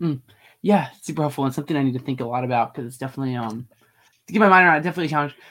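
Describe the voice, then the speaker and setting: A man talks at a very fast pace in a fairly high pitch with ordinary pitch variation and a bright, sharp tone. His loudness swings widely on a very clean recording with a silent background. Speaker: podcast host. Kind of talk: interview about theology. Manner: fast talker.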